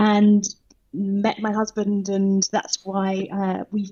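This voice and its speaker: With a British accent, the voice sounds somewhat breathy and moves at a very slow pace. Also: woman. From southern England. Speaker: leadership coach. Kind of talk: podcast interview.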